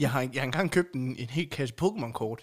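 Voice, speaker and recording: Lively intonation from a man, on a very clean recording with a silent background. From Denmark, central Jutland (Aulum). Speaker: podcast co-host. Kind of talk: casual chat.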